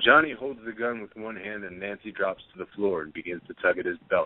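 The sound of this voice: A man speaks in a low-pitched voice. His pace is fairly quick. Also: ordinary pitch variation.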